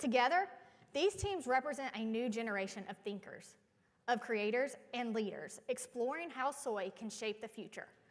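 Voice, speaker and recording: At a moderate pace, a woman with a North Carolina accent speaks in a high voice with lively intonation. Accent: Southern (North Carolina). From North Carolina, US South. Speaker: event emcee. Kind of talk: ceremony emcee speech. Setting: stage with audience. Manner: formal.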